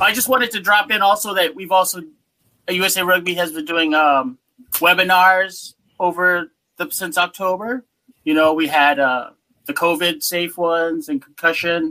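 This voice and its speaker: A man with an American accent, high-pitched for a man, bright and sharp in tone, at a moderate pace with ordinary pitch variation. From Massachusetts (Worcester). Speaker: university rugby coach. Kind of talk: panel discussion.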